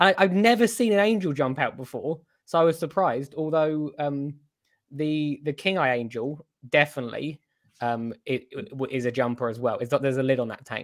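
With a British accent and lively intonation, a man speaks at a moderate pace in a fairly high voice against a quiet background. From UK. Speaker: coral shop owner. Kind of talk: casual chat. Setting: video call. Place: home room. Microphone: video call.

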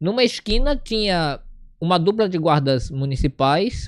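Over a very clean recording with a silent background, the speech unfolds at a fairly slow pace. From Recife, Pernambuco, Brazil. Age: 20s. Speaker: talk show host. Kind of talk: talk show interview. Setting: studio.

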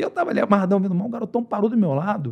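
The setting is quiet. A man speaks very fast, his intonation lively. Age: 50s. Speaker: former MMA trainer. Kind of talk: casual podcast interview. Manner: animated. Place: studio. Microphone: studio mic.

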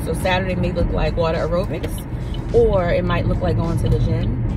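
Music plays in the background as a woman speaks, the sound dry with no echo. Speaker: vlogger. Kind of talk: casual vlog chat. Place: car. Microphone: phone near.

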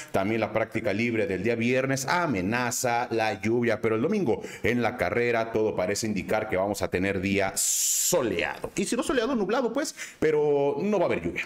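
In a Guadalajara accent, a man talks at a moderate pace with lively, sing-song intonation over faint background noise. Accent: Mexican, Guadalajara sing-song.

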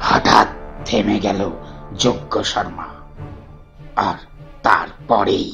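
Clear music plays in the background as a man uses a put-on character voice at a very slow pace. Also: fairly low pitch for a man. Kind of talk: audio drama.

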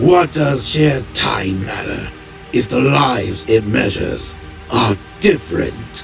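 Over clear background music, a man does a put-on character voice at a fairly low pitch and a fairly slow pace. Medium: dub. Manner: curt, measured.

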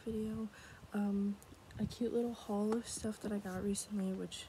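With an American accent, a woman talks at a moderate pace in a fairly high, monotone, flat voice, the sound dry with no echo and light background noise behind her. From United States. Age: 20s. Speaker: ASMR creator. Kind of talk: casual talk to camera. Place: home room. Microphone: phone near.

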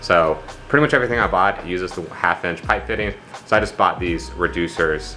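A man speaks at a moderate pace with faint music playing in the background. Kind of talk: tutorial. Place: garage. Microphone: phone near.

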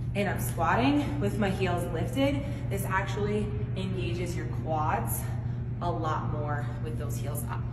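Speech moves at a fairly slow pace over loud background noise. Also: woman. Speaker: fitness coach. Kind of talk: tutorial. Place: gym. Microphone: camera far.

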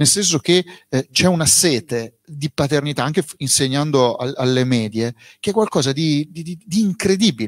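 A man speaks at a moderate pace and a fairly high pitch, with lively intonation. The sound is dry with no echo, over a quiet background. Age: 40s. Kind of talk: book presentation interview. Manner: plain and direct. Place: shop. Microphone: handheld.

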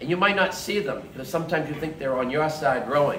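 Lively intonation from a man with a fairly high pitch at a fairly quick pace, with audible room echo and light background noise. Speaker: speaker at political meeting. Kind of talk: speech at campaign event. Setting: event with live audience. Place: bar. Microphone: phone near.

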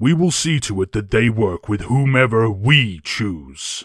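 A man performs a put-on character voice at a fairly slow pace. The recording is very clean with a silent background. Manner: cold, curt, businesslike.

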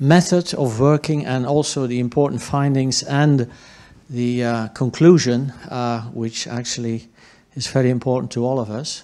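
This man's voice has a dark, mellow tone at medium pitch. He speaks very slowly, with ordinary pitch variation. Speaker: session chair. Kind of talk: moderating a conference session. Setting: conference hall with audience. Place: hall. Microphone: handheld.

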